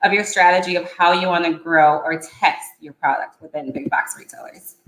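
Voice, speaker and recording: Moderate in pace, a woman speaks at medium pitch. Hers is an ordinary speaking voice. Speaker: retail vendor development manager. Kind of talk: presentation.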